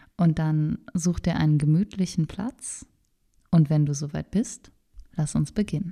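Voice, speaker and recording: A woman speaks with a very deep, low pitch and ordinary pitch variation, her tone dark, mellow, calm and soothing. She sounds somewhat breathy and leaves long, frequent pauses. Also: fairly slow pace. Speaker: meditation guide. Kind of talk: guided meditation. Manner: slow, calm, soothing, gently paced with pauses.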